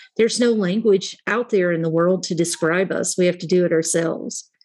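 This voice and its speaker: An ordinary speaking voice keeps a moderate pace and fairly even intonation. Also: woman. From US South, southern West Virginia. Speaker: organizational psychology consultant. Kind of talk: interview.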